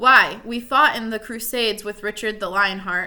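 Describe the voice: Intonation here is fairly even. What you hear is plain reading aloud.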